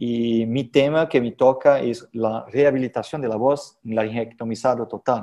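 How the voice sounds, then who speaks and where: The voice has a dark, mellow tone and speaks in a Portuguese accent. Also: man. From Brazil. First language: Portuguese (speaking Spanish). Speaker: head and neck surgeon, professor. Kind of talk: conference lecture. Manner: halting with many fillers.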